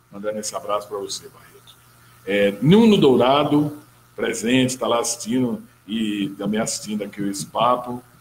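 Over light background noise, a man with an unremarkable speaking voice talks at a moderate pace and medium pitch, with ordinary pitch variation and big swings in loudness. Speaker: talk show host. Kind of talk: interview. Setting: studio. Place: studio. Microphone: studio mic.

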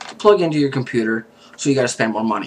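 The speaker is a man. Some light background noise is present. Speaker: product reviewer. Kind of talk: casual product review. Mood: mildly annoyed. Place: home room. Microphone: webcam.

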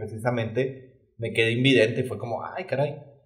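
Speaking with a Mexican accent, a man sounds somewhat breathy. His pace is fairly slow against a quiet background. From Mexico. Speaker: podcast co-host. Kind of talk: casual chat. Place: studio.

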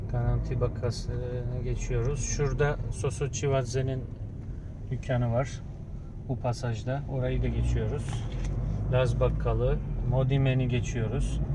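A man speaks at a very slow pace against loud background noise. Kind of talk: casual narrated directions. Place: car. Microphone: phone near.

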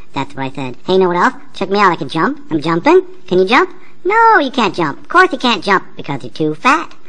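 A female-sounding cartoonish character voice at medium pitch moves at a fairly quick pace over noticeable background noise. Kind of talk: comic overacting. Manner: mocking, sing-song, bratty.

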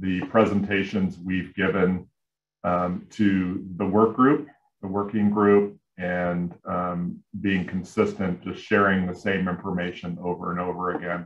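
Audible room echo surrounds a man speaking at a very deep, low pitch. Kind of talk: presentation. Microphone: video call.

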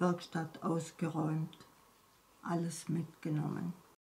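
Very slowly, the words come out in a monotone, flat intonation. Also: woman. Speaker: wartime eyewitness. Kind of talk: interview answer. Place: home room. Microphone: phone near.

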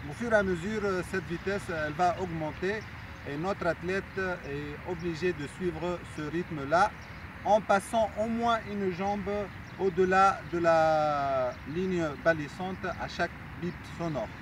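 A man with a high pitch talks at a fairly slow pace with ordinary pitch variation. The sound is dry with no echo, though noticeable background noise comes through. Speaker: sports coach or trainer. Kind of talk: tutorial explanation. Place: stadium.

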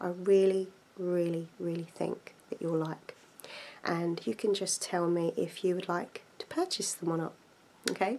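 A woman speaks at a fairly slow pace in a fairly low voice, with ordinary pitch variation. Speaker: book shop role-play host. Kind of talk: casual role-play book recommendation. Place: home room. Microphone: phone near.

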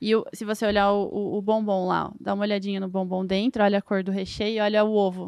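A woman speaks at a very fast pace with hardly any pauses and monotone, flat intonation. The background is quiet, and the sound is dry with no echo. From Lapa, Paraná, southern Brazil; Paraná, Brazil. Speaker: food industry engineer; guest. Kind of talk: casual interview chat. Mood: friendly, explanatory. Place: studio. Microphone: studio mic.

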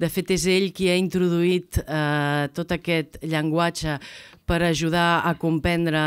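Against a quiet background, a woman with a fairly low pitch speaks at a very slow pace in a monotone, flat intonation. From Catalonia. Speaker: foundation education director; guest. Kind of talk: speaker introduction. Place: hall. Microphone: podium.

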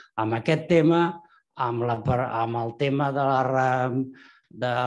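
A man talks with fairly even intonation. The background is quiet. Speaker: economist. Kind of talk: question from audience. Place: hall.

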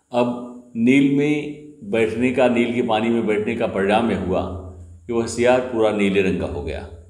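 A man talks at a fairly slow pace, and room echo can be heard. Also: ordinary pitch variation. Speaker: storyteller. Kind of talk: moral storytelling. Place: home room. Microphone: phone near.

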